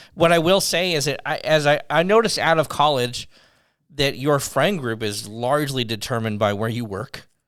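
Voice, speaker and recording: Using a plain, everyday voice, a man speaks at a fairly high pitch and a moderate pace with lively intonation. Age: 40s. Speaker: podcast co-host. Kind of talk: casual chat.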